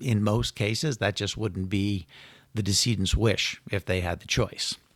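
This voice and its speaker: A man with an American accent and a plain, everyday voice, fairly low in pitch and fairly even in intonation, at a fairly slow pace, with a dry, close sound with no echo in a very clean recording over a silent background. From Connecticut, US. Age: 60s. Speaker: estate planning lawyer. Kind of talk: podcast interview.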